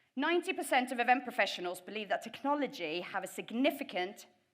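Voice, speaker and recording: A woman speaks at a fairly high pitch with a bright, sharp tone. Her pitch swings very widely. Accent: British. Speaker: event tech professional. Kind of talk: conference presentation.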